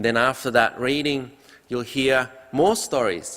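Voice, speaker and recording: A man talks at a fairly slow pace. His pitch rises and falls in an ordinary way. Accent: Indonesian. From Indonesia. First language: Indonesian. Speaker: pastor. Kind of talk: sermon. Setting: church.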